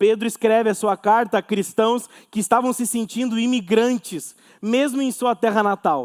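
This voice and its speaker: Man at a fairly slow pace in a very clean recording with a silent background. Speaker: pastor. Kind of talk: sermon. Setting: church.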